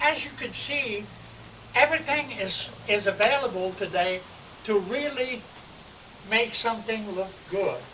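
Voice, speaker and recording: A raised, projected voice with ordinary pitch variation moves at a fairly slow pace with long, frequent pauses over noticeable background noise. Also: man, high pitch for a man. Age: 70s. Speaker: landscape architect. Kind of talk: home tour video.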